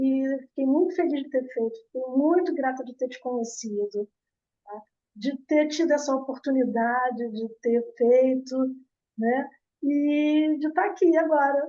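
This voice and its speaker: A woman with a high pitch and a dark, mellow tone speaks fairly slowly with ordinary pitch variation. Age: 60s. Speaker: course graduate interviewed about hair care. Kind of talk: casual interview testimony.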